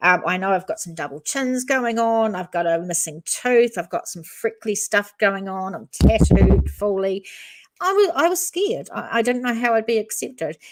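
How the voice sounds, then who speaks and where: On a very clean recording with a silent background, a woman speaks with a New Zealand accent. Her pitch swings very widely. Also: fairly high pitch for a woman, moderate pace. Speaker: true crime YouTuber. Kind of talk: live stream chat. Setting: live stream.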